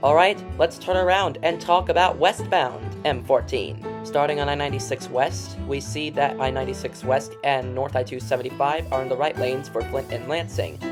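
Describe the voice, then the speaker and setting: Music plays in the background as the speaker talks at a moderate pace with an American accent. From Michigan, near Plymouth. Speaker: road and highway video narrator. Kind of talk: casual narration over images.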